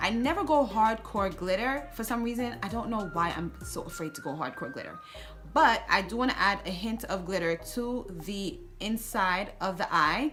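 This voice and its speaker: Over music in the background and audible room echo, a woman talks at a medium pitch with lively intonation. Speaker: beauty vlogger. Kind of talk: tutorial. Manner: fast.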